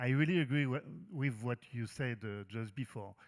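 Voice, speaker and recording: Speaking with a French accent, a man keeps a moderate pace and ordinary pitch variation in a very clean recording with a silent background. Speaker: mentoring organization representative. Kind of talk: panel discussion. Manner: halting, hesitant.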